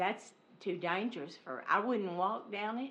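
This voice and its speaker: A woman is speaking at a moderate pace. Audible room echo surrounds her voice. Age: 70s. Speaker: resident speaking at public comment. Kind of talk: public comment at council meeting. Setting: city council meeting.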